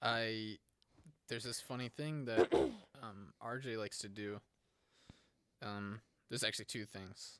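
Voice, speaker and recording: A man speaks fairly slowly at a medium pitch, with fairly even intonation. Long pauses come often. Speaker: podcast co-host. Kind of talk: casual chat.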